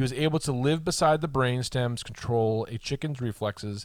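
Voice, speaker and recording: A man with an American accent speaks at a moderate pace in an ordinary speaking voice. His pitch is medium with ordinary variation, and the recording is very clean with a silent background. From Boston, Massachusetts. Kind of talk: casual chat.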